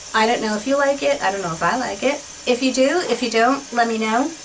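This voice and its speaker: Against noticeable background noise, a woman with a high pitch speaks at a fairly quick pace with ordinary pitch variation. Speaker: beauty vlogger. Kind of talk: casual chat. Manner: animated.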